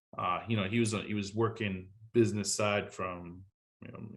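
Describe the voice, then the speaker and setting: In a French accent, a man speaks at a moderate pace with a fairly low pitch and fairly even intonation. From France. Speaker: war veteran. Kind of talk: interview.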